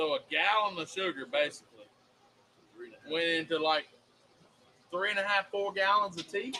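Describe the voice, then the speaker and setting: With a Southern accent, this raised, projected voice moves at a moderate pace, broken by long, frequent pauses. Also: man, high pitch for a man, ordinary pitch variation. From US South. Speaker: podcast co-host. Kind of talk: casual chat. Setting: live stream.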